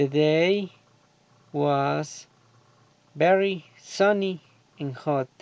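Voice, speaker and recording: At a very slow pace with long, frequent pauses, a man speaks in a fairly high pitch with ordinary pitch variation. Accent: Colombian. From Colombia, Antioquia. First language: Spanish. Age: 30s. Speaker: agronomy student. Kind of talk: prepared self-introduction for English class. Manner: halting.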